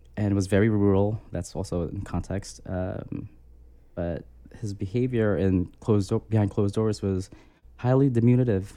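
Fairly low in pitch for a man, this dark, mellow voice with an American accent keeps a moderate pace and ordinary pitch variation. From Philippines, then US. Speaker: abuse survivor sharing story. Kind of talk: personal testimony.

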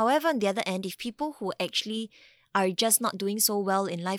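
A woman with a Singaporean accent speaks at a medium pitch with lively intonation. The sound is dry and close with no echo, and the recording is very clean with a silent background. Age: 30s. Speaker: mental health nonprofit co-founder. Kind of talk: interview.

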